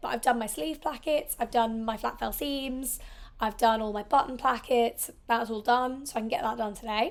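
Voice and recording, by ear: A woman speaks at a fairly quick pace with a fairly high pitch.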